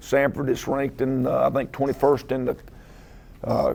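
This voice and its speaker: Over noticeable background noise, a man with a Southern US accent talks at a moderate pace and medium pitch, his intonation monotone and flat. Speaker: head football coach. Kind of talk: press conference. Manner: halting, many filler uhs.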